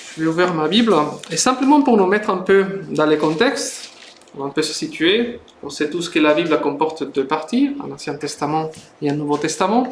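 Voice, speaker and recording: A man with a Spanish accent speaks fairly slowly with lively intonation, and audible room echo surrounds his voice. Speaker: preacher, Bible institute student. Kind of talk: sermon. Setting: church service, livestreamed. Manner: hesitant, many fillers.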